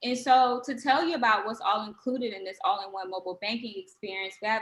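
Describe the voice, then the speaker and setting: Her tone bright and sharp, a woman speaks at a fairly quick pace in a high pitch. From Washington, D.C. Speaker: social media manager. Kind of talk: webinar presentation.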